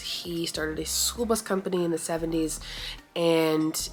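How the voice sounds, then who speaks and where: A woman with an American accent at a moderate pace, with noticeable background noise. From New York, Long Island. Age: 20s. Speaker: vlogger. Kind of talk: casual chat. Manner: halting.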